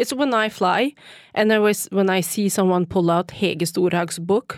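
A woman with a non-native accent and medium pitch speaks at a fairly slow pace, in a dry, close sound with no echo. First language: not English. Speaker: city council politician. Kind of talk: radio interview. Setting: studio. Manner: halting.

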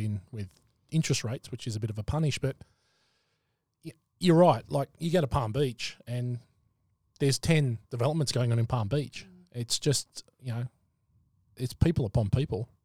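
Breathing somewhat audibly, a man with an Australian accent speaks at a moderate pace and medium pitch in a dark, mellow tone, with ordinary pitch variation, long, frequent pauses, and a dry, close sound with no echo. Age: 40s. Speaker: podcast host. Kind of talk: casual chat.

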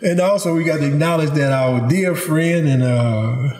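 A man in a Louisiana accent speaks at a fairly slow pace with ordinary pitch variation. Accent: Louisiana Southern US. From Louisiana, Baton Rouge. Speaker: podcast host. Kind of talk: interview. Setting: at a home with animals in background.

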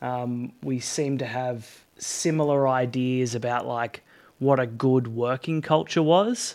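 A man speaks at a medium pitch and a fairly slow pace. He has an ordinary speaking voice with ordinary pitch variation. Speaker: podcast host. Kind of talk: interview.

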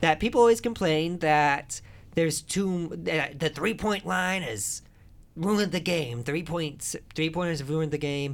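In a very clean recording with a silent background, a high-pitched man speaks at a fairly slow pace with lively intonation. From Northwest Indiana, US Midwest. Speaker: podcast host. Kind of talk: casual comedic chat.

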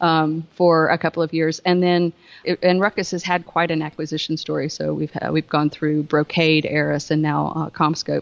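In a Southern US accent, a woman speaks with a very deep, low pitch and monotone, flat intonation. Her pace is moderate, with hardly any pauses. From US South. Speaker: Wi-Fi solutions engineering manager. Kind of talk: casual interview chat, technical explanation.

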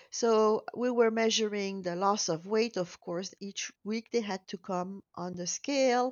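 A woman with a French accent speaks at a fairly slow pace with ordinary pitch variation. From Belgium. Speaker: weight loss program founder. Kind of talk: interview. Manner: hesitant, many fillers.

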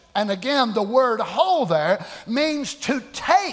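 The speaker has a Southern US accent, an animated tone, and very wide pitch swings. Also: man. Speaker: pastor. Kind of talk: sermon; fiery Pentecostal-style preaching, coaxing congregation responses. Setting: church. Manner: animated call-and-response, acts out voices of discouraged believers; folksy, repetitive cadence with colloquial grammar.

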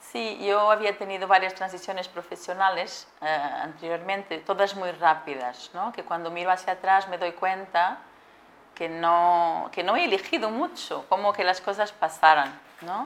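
This woman speaks at a fairly slow pace in a Portuguese accent, her pitch medium with ordinary variation. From Portugal. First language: Portuguese (speaking Spanish). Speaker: supply chain manager. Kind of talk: interview.

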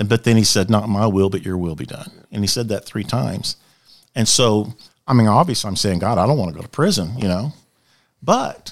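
A man with an American accent and a plain, everyday voice speaks at a fairly quick pace and a fairly low pitch. His intonation is lively, and the recording is very clean with a silent background. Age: 60s. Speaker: former chaplain and police officer. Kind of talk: testimony. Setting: studio.

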